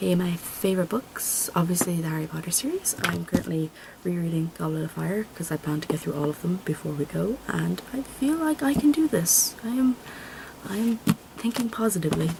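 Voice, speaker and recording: A woman with a Dublin accent talks over noticeable background noise. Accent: Irish, Dublin area. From Ireland. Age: 20s. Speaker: vlogger, college student. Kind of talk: casual vlog introduction. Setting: home video recording on camera. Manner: rambling, fillers. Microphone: camera mic; laptop mic is poor.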